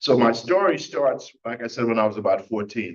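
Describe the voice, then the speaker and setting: A man with a Caribbean accent speaks at a fairly quick pace. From Trinidad. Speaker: recovery speaker. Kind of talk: testimony.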